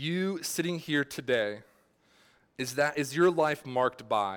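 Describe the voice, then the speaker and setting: On a very clean recording with a silent background, a man with a fairly high pitch uses lively intonation and long, frequent pauses. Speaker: pastor. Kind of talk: sermon. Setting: church. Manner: fast; casual, halting with fillers.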